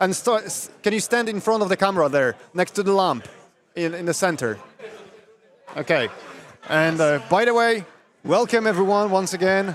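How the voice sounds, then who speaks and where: Against noticeable background noise, a man with a Polish accent speaks at a moderate pace in a high voice with ordinary pitch variation. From Poland. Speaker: tournament stream commentator. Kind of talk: live commentary. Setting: live stream at event venue. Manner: halting.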